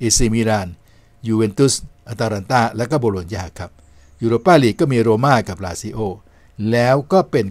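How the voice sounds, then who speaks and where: A man talks in an ordinary speaking voice at a medium pitch, with lively intonation. The recording is very clean, with a silent background. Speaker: sports talk show host. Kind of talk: sports news talk show. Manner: polite formal address.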